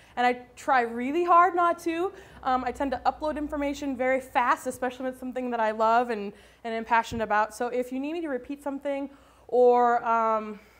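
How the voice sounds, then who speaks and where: In a very clean recording with a silent background, a woman speaks at a fairly quick pace in a high pitch, with ordinary pitch variation. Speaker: animal shelter behavior assessor. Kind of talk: presentation to an audience. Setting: in front of a live audience. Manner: fast; halting, many fillers.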